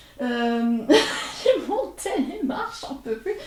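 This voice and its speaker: A woman with a high voice over noticeable background noise. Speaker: video creator / artist. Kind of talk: casual vlog to camera. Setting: at home desk, filming to camera. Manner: hesitant, many filler sounds.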